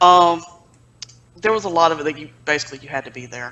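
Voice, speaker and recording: This woman speaks with a Southern US accent. Her pitch varies in an ordinary way. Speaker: magazine publisher and editor. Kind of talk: casual interview.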